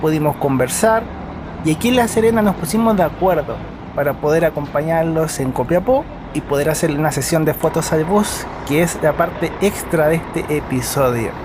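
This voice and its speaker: A man's fairly high voice with lively intonation, very even loudness, and noticeable background noise. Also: moderate pace. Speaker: travel vlogger. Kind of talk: travel narration. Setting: on a bus.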